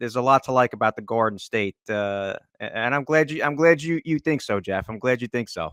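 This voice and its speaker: Talking at a fairly quick pace with a New Jersey accent, a man keeps a medium pitch and ordinary pitch variation in a dry, close sound with no echo. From northern New Jersey, US. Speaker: hockey journalist and draft analyst. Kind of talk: podcast interview. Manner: halting, many fillers and repeats.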